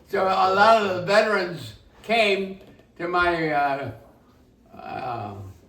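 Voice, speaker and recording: A man with a high voice speaks very slowly, with long, frequent pauses and ordinary pitch variation. Audible room echo and noticeable background noise are present. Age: 80s+. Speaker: war veteran. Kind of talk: casual chat. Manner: halting.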